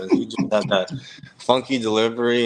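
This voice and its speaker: Noticeable background noise sits behind a man's voice. He has medium pitch and talks at a fairly quick pace. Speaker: retired baseball player. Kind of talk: interview answer. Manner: soft-spoken.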